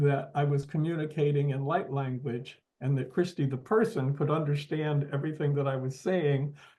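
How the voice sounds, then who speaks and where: Somewhat breathy and fairly high, a man's voice moves at a moderate pace with fairly even intonation. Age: 70s. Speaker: channel host receiving a reading. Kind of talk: casual conversation. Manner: halting, with many fillers.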